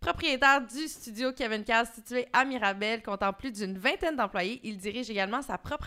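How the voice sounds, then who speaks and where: Her tone is bright and sharp, her pitch fairly high. This woman moves at a moderate pace with lively intonation. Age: 30s. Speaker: podcast co-host. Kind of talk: casual chat; scripted introduction. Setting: studio.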